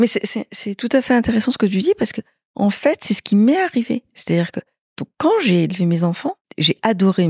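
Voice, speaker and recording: A woman's fairly high, somewhat breathy voice with lively intonation at a moderate pace, in a dry, close sound with no echo. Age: 60s. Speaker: interviewee sharing personal experience. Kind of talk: casual interview. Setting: at her home.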